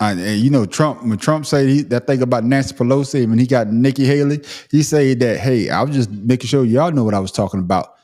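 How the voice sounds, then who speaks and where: A man talks at a very fast pace with hardly any pauses, his medium pitch moving with ordinary variation while music plays in the background. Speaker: podcast host. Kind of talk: casual chat.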